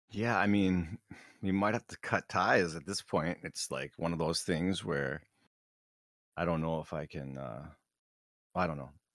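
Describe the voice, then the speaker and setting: With an American accent and vocal fry, the voice comes through a very clean recording with a silent background and a dry, close sound with no echo. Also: man, very deep, low pitch for a man, ordinary pitch variation. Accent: Minnesotan, can do it strongly. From Minnesota, US Upper Midwest. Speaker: podcast co-host. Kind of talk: casual banter chat.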